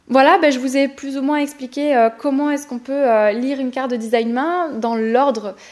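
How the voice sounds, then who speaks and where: A woman talks at a high pitch over noticeable background noise. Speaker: human design coach and podcast host. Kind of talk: tutorial podcast. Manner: fast; enthusiastic.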